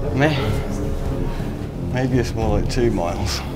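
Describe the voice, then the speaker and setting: A man at a fairly slow pace, with loud music in the background. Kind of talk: casual vlog chat. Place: tunnel cave. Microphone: phone near.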